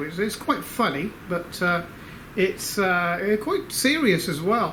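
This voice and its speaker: Amid audible room echo, a man speaks very slowly at a high pitch with lively intonation. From Australia. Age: 60s. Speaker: inventor and engineer. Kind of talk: casual video update to supporters. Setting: workshop. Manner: hesitant, many fillers.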